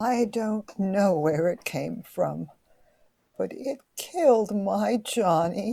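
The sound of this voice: Using a put-on character voice, a woman speaks slowly at a medium pitch with a dark, mellow tone, vocal fry and lively intonation.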